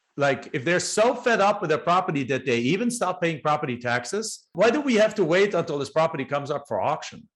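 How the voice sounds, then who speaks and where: Talking at a fairly quick pace with hardly any pauses, a man uses a high pitch and very wide pitch swings. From Germany. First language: German. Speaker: real estate investor. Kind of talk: podcast interview.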